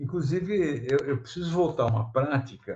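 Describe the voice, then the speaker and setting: In a dark, mellow tone, a man speaks somewhat breathily with ordinary pitch variation. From São Paulo coast, Brazil (São Vicente). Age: 50s. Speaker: comics artist and illustrator. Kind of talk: casual interview chat. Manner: halting, repeats words.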